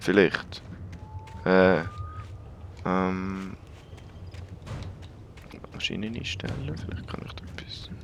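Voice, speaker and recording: Amid noticeable background noise, a man speaks very slowly with long, frequent pauses, his very deep, low voice flat and monotone while his loudness swings widely. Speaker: let's play gamer. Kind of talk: casual gameplay commentary.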